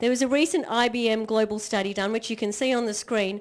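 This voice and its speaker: A woman with an Australian accent talks at a fairly quick pace in a fairly high voice. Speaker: motivational speaker. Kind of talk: keynote speech.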